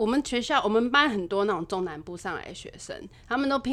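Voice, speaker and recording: A woman talks at a fairly quick pace in a cheerful tone and a medium pitch. Noticeable background noise sits behind her. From Taiwan, Taipei. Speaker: restaurant owner and chef. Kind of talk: casual interview chat. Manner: cheerful, frequent laughter.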